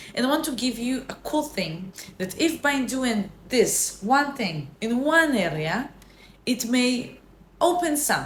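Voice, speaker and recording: A woman speaks at a fairly slow pace in a high voice with very wide pitch swings, and audible room echo surrounds her. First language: not English. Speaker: self-help vlogger. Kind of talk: casual motivational talk. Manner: halting, with self-corrections.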